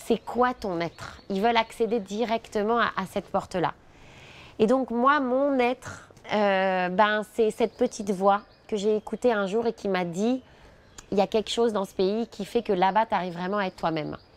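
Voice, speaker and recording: Over a quiet background, a woman speaks at a medium pitch and moderate pace. Her pitch variation is ordinary, and the sound is dry and close with no echo. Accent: Parisian. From France, Paris area (Charenton). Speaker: immigrant interviewee, former sales director. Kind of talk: interview testimony.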